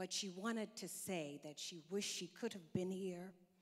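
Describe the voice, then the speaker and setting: This is an unremarkable speaking voice, a woman with an American accent and a fairly low pitch. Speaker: diplomat. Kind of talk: conference speech. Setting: conference hall podium.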